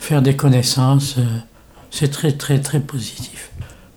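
A man's somewhat breathy voice, fairly high in pitch, flat and monotone, at a very slow pace. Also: long, frequent pauses. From Morocco. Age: 80s+. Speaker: day care centre visitor, retired medical rep. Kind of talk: interview. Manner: halting.

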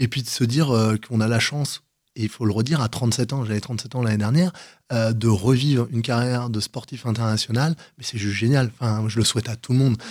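A man with a medium-pitched voice talks at a fairly quick pace in a very clean recording with a silent background. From Paris region, France. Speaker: paratriathlete. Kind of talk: radio interview. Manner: energetic.

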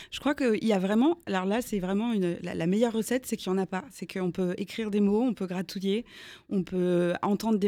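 A woman's voice sits at medium pitch in a dark, mellow tone with fairly even intonation. The recording is very clean, the background silent. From Alsace, Strasbourg. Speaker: singer-songwriter. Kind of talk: radio interview. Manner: halting, repeats words.

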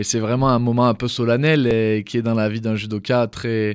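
On a very clean recording with a silent background, a man with a plain, everyday voice speaks at a medium pitch and a moderate pace. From southeastern France (Drôme). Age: 20s. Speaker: judoka. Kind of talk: interview. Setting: studio.

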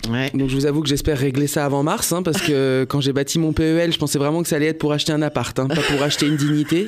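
Noticeable background noise sits behind a man who talks at a very fast pace with hardly any pauses, holding a fairly high pitch, very even loudness and fairly even intonation. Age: 30s. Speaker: radio comedian / columnist. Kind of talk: comic radio chronicle.

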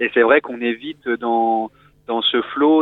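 A man speaks at a medium pitch with fairly even intonation. His is an unremarkable speaking voice. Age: 20s. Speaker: caller, corporate employee. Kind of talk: casual chat.

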